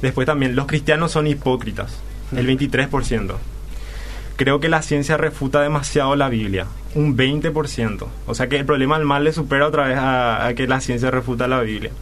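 A man speaks with fairly even intonation and medium pitch at a moderate pace, noticeable background noise running underneath. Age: 20s. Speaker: university student. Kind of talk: radio interview.

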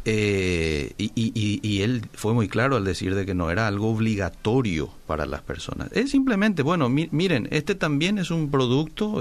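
Pitch swings very widely at a moderate pace, with hardly any pauses. Noticeable background noise runs underneath. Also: man. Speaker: radio host. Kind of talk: radio call-in talk show.

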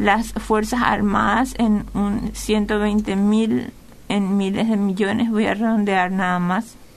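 At a very slow pace, a woman speaks with a medium pitch, fairly even intonation and very even loudness, with audible room echo. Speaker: financial advisor. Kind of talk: radio interview.

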